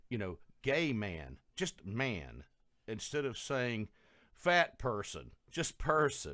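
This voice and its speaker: Very wide pitch swings mark this man's medium-pitched voice, which has a bright, sharp tone and vocal fry, moving at a very slow pace in a very clean recording with a silent background. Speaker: guest, race relations activist. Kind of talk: talk show discussion.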